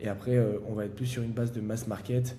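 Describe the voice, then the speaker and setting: A somewhat breathy, dark and mellow voice rushes along at a very fast pace in a monotone, flat intonation. Audible room echo surrounds it. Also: man. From France, Valence near Lyon. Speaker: startup founder. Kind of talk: interview. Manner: halting, many fillers.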